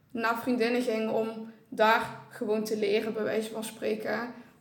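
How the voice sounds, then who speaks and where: At a moderate pace, a woman speaks in a fairly high, monotone voice with flat intonation, amid noticeable background noise and audible room echo. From Weert, Limburg, Netherlands. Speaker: student podcast co-host. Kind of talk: casual chat.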